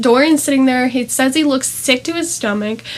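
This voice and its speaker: A woman's high voice, varying in pitch in an ordinary way, is heard against noticeable background noise. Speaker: book reviewer. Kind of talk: book review vlog. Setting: at home in front of a tapestry. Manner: animated.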